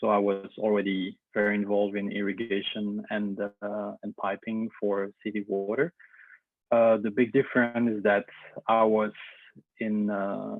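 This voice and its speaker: A man talks with a Belgian French accent at a fairly slow pace. His fairly low voice stays monotone and flat. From Belgium. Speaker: engineer, company representative. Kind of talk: webinar presentation. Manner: hesitant, many fillers.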